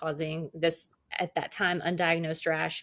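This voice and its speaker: A woman with an American accent, an ordinary speaking voice, fairly low pitch and a fairly quick pace. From US South. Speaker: podcast host. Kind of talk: casual chat.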